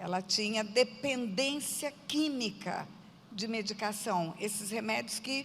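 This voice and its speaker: A woman with a fairly high pitch speaks in an ordinary speaking voice, taking a fairly slow pace. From Brazil, Mato Grosso do Sul (Aquidauana). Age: 60s. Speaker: pastor. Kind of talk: testimony.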